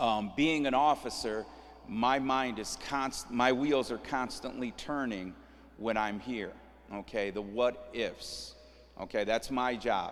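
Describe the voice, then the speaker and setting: With audible room echo, a man at medium pitch talks at a very slow pace with fairly even intonation. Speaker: police sergeant and safety trainer. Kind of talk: training session. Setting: church hall with audience, live streamed. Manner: casual, frequent okay fillers.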